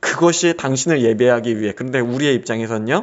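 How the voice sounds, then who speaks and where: A man speaks at a medium pitch with lively intonation. His is an unremarkable speaking voice. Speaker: pastor. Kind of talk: religious teaching talk. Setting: solo recording.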